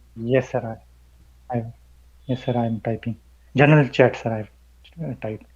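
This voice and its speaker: Pausing long and often, a man speaks at a moderate pace in a somewhat breathy, medium-pitched voice with fairly even intonation. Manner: deferential, military-style 'sir'.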